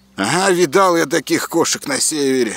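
Pitched fairly high, a man puts on a character voice. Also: moderate pace. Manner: trembling, scared.

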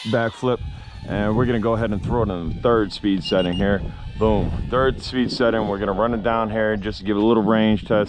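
A man talks at a fairly quick pace and a fairly low pitch, with fairly even intonation. The sound is dry with no echo, though there is noticeable background noise. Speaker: drone reviewer. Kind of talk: commentary. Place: street. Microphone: phone near.

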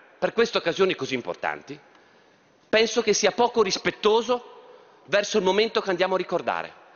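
Man with a high pitch at a fairly quick pace. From Trieste, north-east Italy; Italy. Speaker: politician. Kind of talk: parliamentary speech. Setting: parliament chamber. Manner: formal. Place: hall. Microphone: podium.

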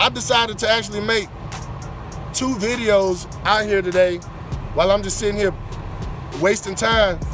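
The recording is dry, with no echo and clear music in the background. A man speaks in a high pitch. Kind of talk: casual vlog chat. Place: open country. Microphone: headset.

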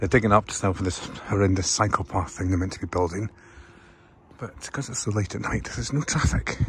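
An unremarkable speaking voice from a man, fairly low in pitch and fairly quick in pace, with a dry sound with no echo and light background noise. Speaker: travel vlogger. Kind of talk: casual vlog chat. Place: street. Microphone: phone near.

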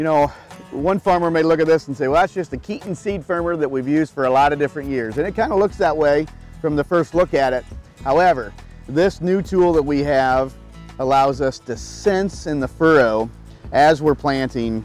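Faint music plays in the background. A man speaks at a moderate pace with ordinary pitch variation. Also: dry sound with no echo. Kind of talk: product explanation interview. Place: open country. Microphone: lapel.

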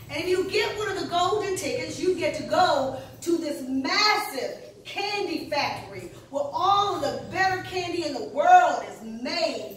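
A woman's extremely high voice with big swings in loudness, audible room echo and light background noise. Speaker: pastor. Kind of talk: sermon. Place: church. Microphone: camera far.

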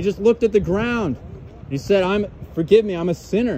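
A loud man with a high pitch speaks fairly quickly, the sound dry with no echo and light noise in the background. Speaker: street preacher. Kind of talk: sermon. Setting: outdoors. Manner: loud, urgent, exhorting passers-by; repetitive, emphatic, fervent. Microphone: phone near.

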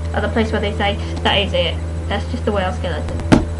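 A woman with a very deep, low voice speaks over noticeable background noise. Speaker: book reviewer. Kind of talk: casual book review to camera. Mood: chatty, self-deprecating. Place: home room. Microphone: webcam.

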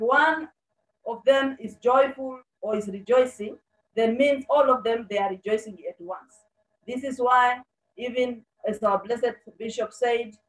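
Speech comes at a fairly slow pace with long, frequent pauses and fairly even intonation. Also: woman, high pitch for a woman. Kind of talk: sermon. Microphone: video call.

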